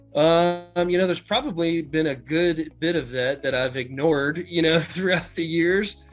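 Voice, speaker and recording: With music in the background, a man with an American accent talks at a fairly slow pace and a fairly high pitch. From Chesapeake, Virginia, USA. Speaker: hotel general manager. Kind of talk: interview answer.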